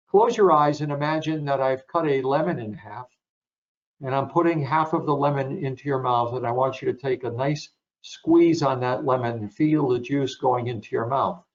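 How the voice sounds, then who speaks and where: This man has a plain, everyday voice with fairly high pitch. He talks at a moderate pace with ordinary pitch variation. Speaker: sports psychologist. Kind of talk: webinar presentation.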